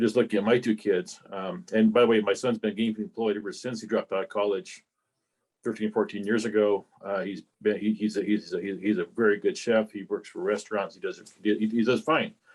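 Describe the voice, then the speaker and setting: At a moderate pace, a man speaks in an ordinary speaking voice with a fairly low pitch and ordinary pitch variation. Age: 60s. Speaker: club member. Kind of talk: casual remarks in meeting discussion. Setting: club meeting.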